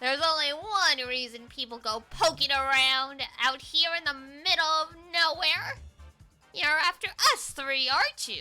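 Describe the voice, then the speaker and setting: Faint music plays in the background as a female-sounding voice in a put-on character voice speaks at a high pitch and a moderate pace. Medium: virtual streamer. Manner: sneering.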